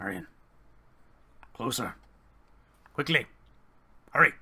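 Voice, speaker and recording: A raspy, put-on character voice from a man at a medium pitch. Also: moderate pace. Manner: urgent, yelling.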